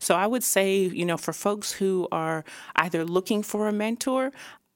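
A woman talks at a moderate pace. She has a plain, everyday voice. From Toronto area, Canada. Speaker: video producer and creative director. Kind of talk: casual interview. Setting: studio.

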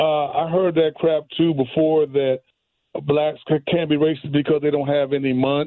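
This is an ordinary speaking voice from a man with an American accent. He talks at a moderate pace with a fairly high pitch and fairly even intonation. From Chicago, US. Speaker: caller. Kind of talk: call-in opinion. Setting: phone call.

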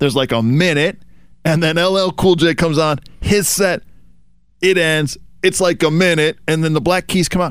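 A man talks in a high pitch at a very even loudness. His pauses are long and frequent. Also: ordinary pitch variation, moderate pace. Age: 50s. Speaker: podcast co-host. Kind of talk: casual chat.

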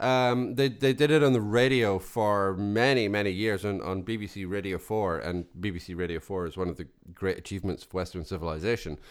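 With a Scottish accent, a man talks at a fairly quick pace in a fairly low voice, hardly pausing, with ordinary pitch variation. Loudness swings widely on a very clean recording with a silent background. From Scotland. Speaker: podcast co-host. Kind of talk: casual chat.

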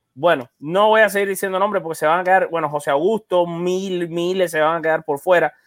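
A man speaks at a fairly quick pace with a high pitch and fairly even intonation. The sound is dry and close, with no echo. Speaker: podcast host. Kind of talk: sports podcast panel discussion. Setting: at home in a room, isolating.

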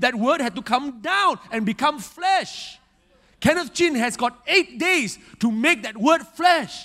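A man speaks in a raised, projected voice with a bright, sharp, animated tone. His intonation is lively, and his pace fairly slow. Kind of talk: sermon. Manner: vivid and emphatic, stacking imagery and repeating phrases for effect.

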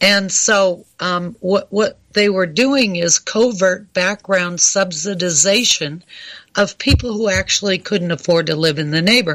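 A woman with a normal speaking voice talks fairly slowly at a medium pitch, her pitch varying in an ordinary way. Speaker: radio co-host. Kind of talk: talk radio discussion.

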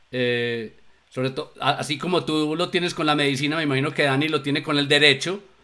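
A man with a fairly high pitch at a fairly quick pace. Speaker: show co-host. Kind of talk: live talk show. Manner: sing-song intonation.

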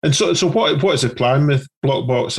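At a fairly quick pace, a man speaks in a somewhat breathy voice with ordinary pitch variation. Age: 40s. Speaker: podcast co-host. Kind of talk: casual interview.

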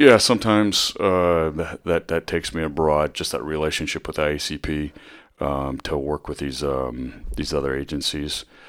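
A man talks in a very deep, low pitch with ordinary pitch variation. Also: moderate pace. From US Midwest, northwest Iowa. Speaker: police chief. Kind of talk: interview. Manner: hesitant, many fillers.

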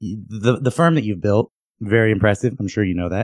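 Over a quiet background, a man with an unremarkable speaking voice talks at a fairly low pitch with ordinary pitch variation. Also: dry, close sound with no echo. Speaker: podcast host. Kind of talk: casual chat.

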